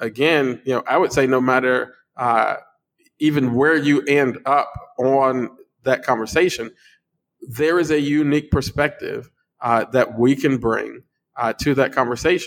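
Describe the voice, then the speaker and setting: A man speaks at a fairly slow pace and medium pitch, his loudness very even and his intonation fairly even, with long, frequent pauses. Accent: American. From Chicago, US. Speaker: pastor and congressional candidate. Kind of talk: casual chat. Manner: halting.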